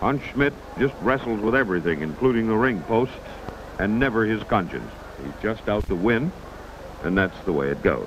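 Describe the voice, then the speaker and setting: Amid noticeable background noise, a man with a fairly low pitch speaks in an animated tone with lively intonation, leaving long, frequent pauses. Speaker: wrestling announcer. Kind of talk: live commentary. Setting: ringside at a crowded arena. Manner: animated, folksy and wisecracking, quick patter with homespun similes.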